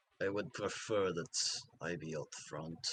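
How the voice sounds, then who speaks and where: Very deep, low put-on character voice of a man, delivered fairly slowly. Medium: actual play.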